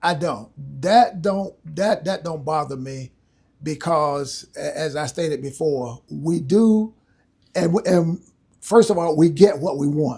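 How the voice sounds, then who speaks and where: Very slowly and in a Southern US accent, a man with a fairly high pitch and a dark, mellow tone speaks with ordinary pitch variation, captured in a very clean recording with a silent background. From North Carolina. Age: 70s. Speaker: retired military and civil service. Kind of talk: interview answer.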